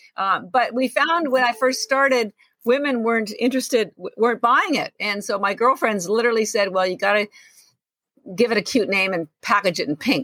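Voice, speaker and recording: A woman's fairly high, bright and sharp voice with ordinary pitch variation, at a fairly quick pace, in a dry, close sound with no echo. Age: 60s. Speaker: entrepreneur and health coach. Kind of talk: interview. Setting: video call. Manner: animated.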